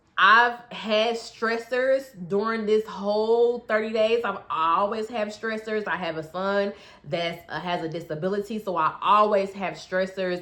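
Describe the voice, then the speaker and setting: A woman talks at a fairly slow pace and a medium pitch. She has a plain, everyday voice. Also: ordinary pitch variation. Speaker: health and weight loss coach. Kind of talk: casual vlog update. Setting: bedroom at home. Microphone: echoey room, no proper mic.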